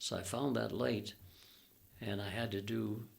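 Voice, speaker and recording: A man with a Canadian accent talks at a fairly low pitch with vocal fry. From Alberta, Canada. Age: 80s+. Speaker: retired air force pilot. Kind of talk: interview answer, storytelling.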